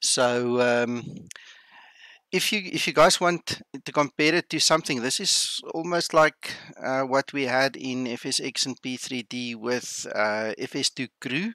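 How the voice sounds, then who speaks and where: The voice has an Afrikaans accent and a bright, sharp tone, moving at a fairly slow pace with ordinary pitch variation. The sound is dry and close with no echo, on a very clean recording with a silent background. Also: man, medium pitch for a man. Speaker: flight sim streamer. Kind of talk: livestream commentary. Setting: home livestream. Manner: casual, hesitant.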